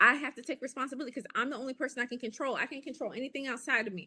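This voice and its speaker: An American-accented woman speaks in a high pitch with a bright, sharp, animated tone. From US. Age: 40s. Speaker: life and business coach. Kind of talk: live stream talk.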